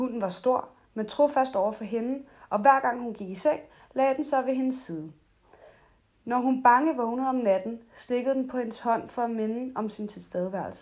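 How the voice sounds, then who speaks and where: Over a quiet background, a woman speaks in a calm tone at a high pitch, with ordinary pitch variation. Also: moderate pace. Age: 20s. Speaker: podcast host. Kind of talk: casual chat; reading aloud.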